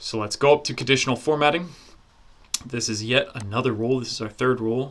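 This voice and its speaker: Here is an unremarkable speaking voice from a man at medium pitch. He talks at a fairly quick pace with ordinary pitch variation. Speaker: online course instructor. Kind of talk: software tutorial. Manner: casual.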